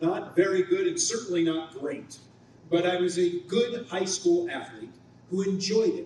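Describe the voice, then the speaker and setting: A man with an American accent talks at a high pitch with lively intonation, amid audible room echo and noticeable background noise. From Ohio, US Midwest. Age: 60s. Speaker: TV news anchor and reporter. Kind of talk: luncheon speech. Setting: banquet hall with audience.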